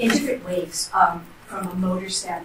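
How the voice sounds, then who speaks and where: A woman talks at a moderate pace, and audible room echo comes through. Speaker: trial attorney. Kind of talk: courtroom opening statement. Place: hall. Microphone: camera far.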